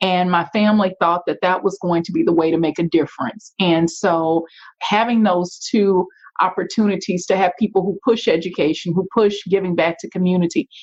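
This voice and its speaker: Fairly even in intonation, a woman speaks with a Louisiana accent. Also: medium pitch for a woman, moderate pace. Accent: Louisiana Southern. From US South, Shreveport, Louisiana. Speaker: nonprofit and community leader. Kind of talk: interview.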